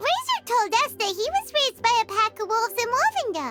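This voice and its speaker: Over loud music in the background, a squeaky, put-on character voice at an extremely high pitch rattles along at a fairly quick pace. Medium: video game. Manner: casual, lively.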